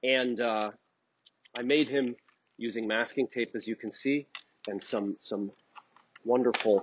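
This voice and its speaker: A man at a very slow pace, ordinary pitch variation, light background noise. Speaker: art instructor. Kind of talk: tutorial. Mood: warm, playful storytelling. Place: studio.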